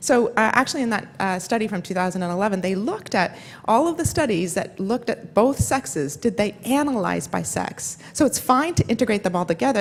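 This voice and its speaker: The delivery is very fast with lively intonation. Noticeable background noise sits behind it. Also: woman. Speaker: neuroscience professor. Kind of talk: conference lecture.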